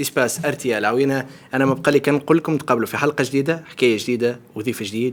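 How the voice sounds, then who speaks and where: A man with a Tunisian accent at a very fast pace, hardly any pauses, medium pitch and ordinary pitch variation. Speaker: talk show host. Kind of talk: show closing remarks.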